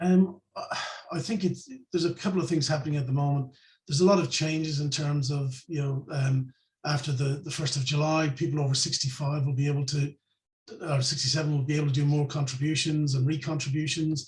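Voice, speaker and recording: A man with an Irish accent, fairly high-pitched and somewhat breathy, with fairly even intonation. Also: fairly quick pace. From Ireland. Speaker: financial planner. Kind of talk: interview.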